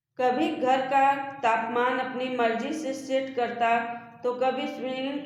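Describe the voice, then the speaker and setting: Noticeable background noise sits behind a woman's high-pitched voice. Her intonation stays fairly even. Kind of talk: story narration.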